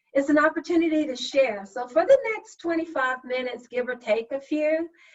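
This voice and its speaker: A woman with a Southern US accent. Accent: Southern drawl. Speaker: session facilitator, HR professional. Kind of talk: virtual meeting facilitation. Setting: video call.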